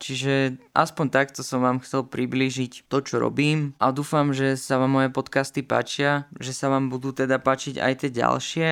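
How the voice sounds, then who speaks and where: A man is speaking. His pace is fairly slow. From Slovakia, Poprad/Kežmarok region under the Tatras. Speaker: podcast host, trumpet player. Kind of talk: personal monologue.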